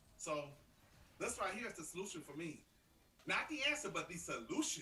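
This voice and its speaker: A man projects a raised voice at a high pitch, his tone animated and his pitch swinging very widely. The room echo is audible. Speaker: live stream co-host, coach. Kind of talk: casual chat. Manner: fast.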